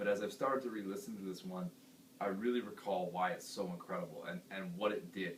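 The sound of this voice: Talking at a fairly quick pace, a man with a fairly low pitch uses ordinary pitch variation, and there is audible room echo.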